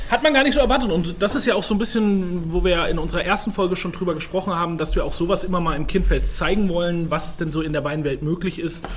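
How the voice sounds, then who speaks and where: A high-pitched man talks at a very fast pace with ordinary pitch variation. Audible room echo and noticeable background noise surround him. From Franconia (Rhön), Germany. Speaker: sommelier and podcast co-host. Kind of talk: casual chat.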